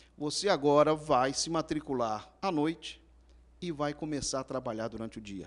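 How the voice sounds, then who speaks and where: On a very clean recording with a silent background, a man speaks at a moderate pace with a fairly high pitch and ordinary pitch variation. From Rio de Janeiro, Brazil. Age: 50s. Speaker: businessman, civil engineer. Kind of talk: interview. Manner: halting.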